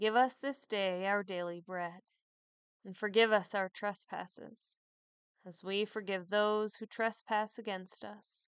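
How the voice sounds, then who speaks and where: A woman with an ordinary speaking voice, medium pitch and fairly even intonation, fairly slow pace and big swings in loudness, in a dry, close sound with no echo against a quiet background. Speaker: priest leading morning prayer. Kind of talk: fervent prayer. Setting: online podcast worship recording. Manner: solemn, measured, devout.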